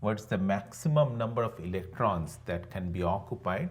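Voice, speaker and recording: A man speaks at a fairly slow pace with lively intonation and a somewhat breathy sound. Audible room echo fills the recording. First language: not English. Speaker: online teacher. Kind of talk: lecture. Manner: conversational, with frequent fillers.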